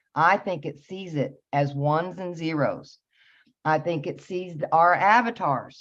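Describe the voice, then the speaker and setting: A plain, everyday voice from a woman, fairly low in pitch and fairly slow, with ordinary pitch variation over a quiet background. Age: 50s. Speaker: spiritual teacher. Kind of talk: interview.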